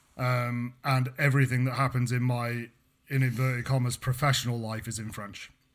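This man speaks with a British accent at a medium pitch. His intonation is monotone and flat, and his pace is moderate. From Britain. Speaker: podcast co-host and university researcher. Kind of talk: casual chat. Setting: remote call.

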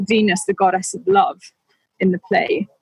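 A woman speaks with monotone, flat intonation and a somewhat breathy voice, the sound dry and close with no echo. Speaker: co-host, Shakespeare discussant. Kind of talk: casual chat about literature. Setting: balcony, remote call.

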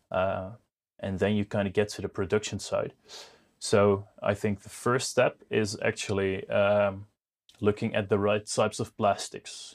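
A man speaks with a Dutch accent on a very clean recording with a silent background. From Netherlands. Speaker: business founder. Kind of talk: interview. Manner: halting, many fillers.

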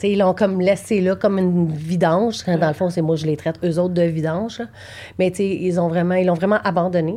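With a dark, mellow tone, a woman speaks at a fairly low pitch, a moderate pace and fairly even intonation. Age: 40s. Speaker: bereaved mother. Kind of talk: personal testimony. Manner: halting.

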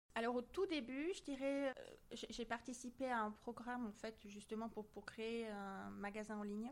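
A woman speaks at a fairly slow pace. Her pitch sits fairly high, with ordinary variation. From southern France, near Marseille. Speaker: scientist and association president. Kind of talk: interview.

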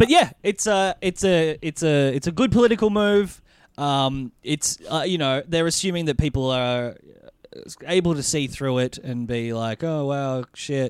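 With an Australian accent, a man speaks fairly slowly at a fairly high pitch, his intonation lively. The recording is very clean, the background silent. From Australia (Melbourne). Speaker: podcast host. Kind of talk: casual chat. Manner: laughs often.

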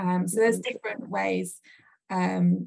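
Somewhat breathy, a woman speaks at a fairly slow pace in a fairly low pitch with fairly even intonation. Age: 40s. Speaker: entrepreneur. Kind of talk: casual chat. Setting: video call. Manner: hesitant, many fillers.

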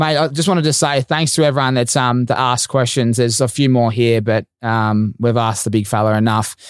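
In an Australian accent, a man talks at a fairly quick pace with hardly any pauses on a very clean recording with a silent background. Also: medium pitch for a man, ordinary pitch variation, very even loudness. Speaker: podcast host. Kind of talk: casual interview chat.

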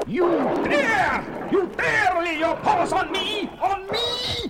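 A man's put-on character voice, extremely high-pitched, bright and sharp in tone, with lively intonation, a slow pace and faint background noise

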